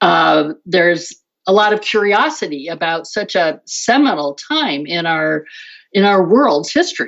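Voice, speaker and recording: With vocal fry and a fairly low pitch, a woman talks fairly slowly using lively intonation. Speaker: novelist. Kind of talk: interview.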